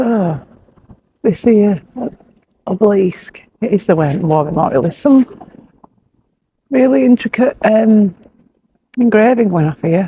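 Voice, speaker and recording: This woman has a Yorkshire accent and a medium pitch. She talks at a fairly slow pace with lively intonation and long, frequent pauses. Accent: broad Yorkshire English. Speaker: motorhome travel vlogger. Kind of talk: casual chat.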